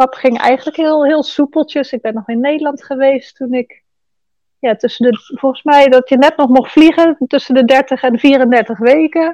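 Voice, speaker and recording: At a moderate pace, a woman speaks at a high pitch in a dark, mellow tone, with a dry, close sound and no echo. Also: fairly even intonation. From Netherlands. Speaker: podcast guest sharing birth story. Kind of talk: casual interview.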